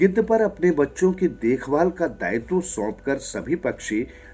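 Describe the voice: The voice makes big pitch swings while faint music plays in the background. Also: man, slightly mellow tone.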